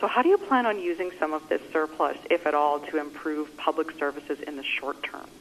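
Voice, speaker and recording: Someone with a Canadian accent speaks at a fairly quick pace with ordinary pitch variation. Noticeable background noise is present. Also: woman, very deep, low pitch for a woman. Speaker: journalist. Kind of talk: press conference questions. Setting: phone call.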